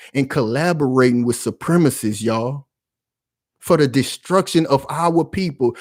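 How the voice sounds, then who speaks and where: A man talks with lively intonation. The recording is very clean and the background silent. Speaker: political commentary YouTuber. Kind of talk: impassioned commentary monologue. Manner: loud, yelling; animated, passionate.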